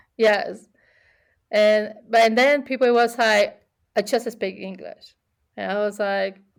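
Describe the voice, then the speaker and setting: Speaking at a very slow pace, a woman talks with an Argentine accent. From Argentina. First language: Spanish. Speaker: immigrant sharing experiences, cook. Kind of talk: casual interview chat. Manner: halting, many repetitions.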